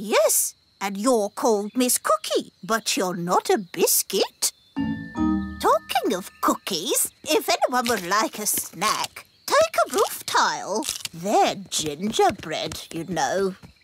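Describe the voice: In a cartoonish character voice, someone speaks at a fairly high pitch and a very slow pace over faint music in the background.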